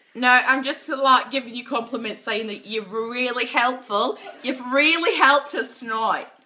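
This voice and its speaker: A woman with a high voice talks at a moderate pace, her intonation fairly even but her loudness swinging widely, over noticeable background noise. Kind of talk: drunken prank phone call.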